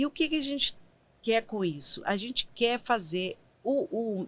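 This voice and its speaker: The voice moves at a fairly slow pace with very wide pitch swings, on a very clean recording with a silent background. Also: woman. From Brazil, Minas Gerais (Caratinga). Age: 50s. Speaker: writer and nonprofit program director. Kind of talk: podcast interview.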